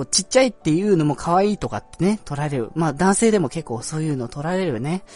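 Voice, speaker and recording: Very fast, lively speech from a fairly high-pitched man with hardly any pauses, over music in the background. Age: 20s. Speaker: amateur podcast host. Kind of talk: casual solo talk. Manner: hesitant, many fillers.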